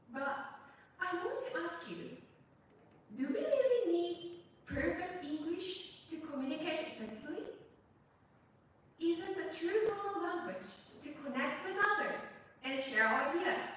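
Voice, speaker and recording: A woman's extremely high-pitched, fairly slow speech in a Japanese accent, with lively intonation, long, frequent pauses and audible room echo. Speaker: university student speech contestant. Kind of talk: speech contest speech. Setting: stage with audience.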